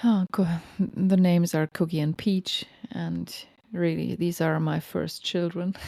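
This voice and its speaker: A woman talks at a fairly slow pace with a German accent. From Germany. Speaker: podcast host, lactation counselor. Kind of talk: personal storytelling monologue. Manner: casual, with hesitations.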